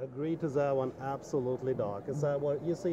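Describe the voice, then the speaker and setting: Over noticeable background noise, a man with a German accent talks at a fairly quick pace, his fairly high voice holding fairly even intonation. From Germany. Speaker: dive equipment company owner. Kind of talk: trade show interview. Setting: trade show booth.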